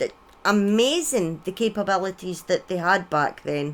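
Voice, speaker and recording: With very wide pitch swings, a woman speaks in a Scottish accent. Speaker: streamer. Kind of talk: storytelling on live stream. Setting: live stream with chat.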